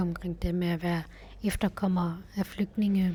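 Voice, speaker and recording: A woman speaks fairly slowly at a medium pitch, her intonation fairly even. The voice sounds somewhat breathy. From West Jutland, Denmark. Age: 20s. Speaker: university student. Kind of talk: interview testimony.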